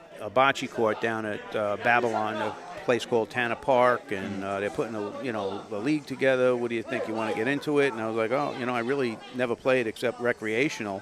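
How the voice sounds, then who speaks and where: Noticeable background noise sits under a man speaking with a New York accent at a medium pitch. He moves at a fairly quick pace with hardly any pauses and fairly even intonation. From Long Island, New York. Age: 60s. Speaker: amateur bocce player. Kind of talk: casual interview.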